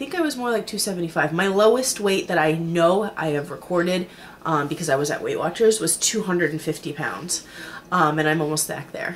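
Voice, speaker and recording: At a fairly quick pace, a woman speaks with a fairly low pitch and lively intonation. Noticeable background noise runs underneath. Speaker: weight-loss surgery vlogger. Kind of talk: video diary. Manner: hesitant, many fillers.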